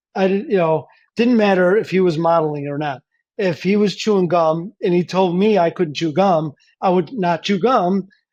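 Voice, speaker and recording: A man talks with an American accent at a moderate pace. His pitch is high, with ordinary variation. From Chicago, US Midwest. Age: 60s. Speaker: restaurant owner. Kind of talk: interview conversation.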